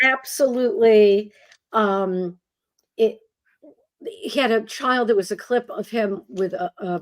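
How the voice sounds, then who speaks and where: A woman speaks in a fairly high pitch with ordinary pitch variation. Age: 60s. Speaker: professor and author. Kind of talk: radio interview chat.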